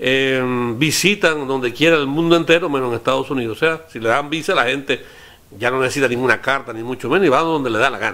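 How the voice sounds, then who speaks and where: A man speaks with a medium pitch. His delivery is very fast. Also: ordinary pitch variation. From Cuba. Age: 60s. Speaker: radio interviewer. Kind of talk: interview.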